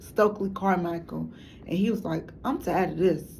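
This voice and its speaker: This woman's voice sits fairly low, with vocal fry and ordinary pitch variation. Room echo is audible. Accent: American. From Chicago. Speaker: documentary maker, substitute teacher. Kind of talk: documentary monologue. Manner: halting, many fillers.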